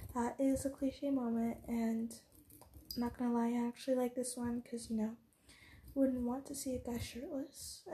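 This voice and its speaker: Soft-spoken and high-pitched, a woman speaks with a dark, mellow tone at a moderate pace. Her intonation is monotone and flat, with long, frequent pauses. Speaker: podcast host about story writing. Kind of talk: casual solo podcast talk. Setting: recording at cousin's home, quiet room.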